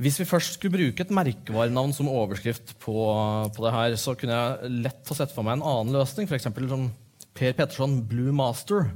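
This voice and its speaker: A somewhat breathy man talks at a moderate pace and medium pitch with ordinary pitch variation, on a very clean recording with a silent background. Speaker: literary editor and interviewer. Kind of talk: stage interview. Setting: stage with audience. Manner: halting.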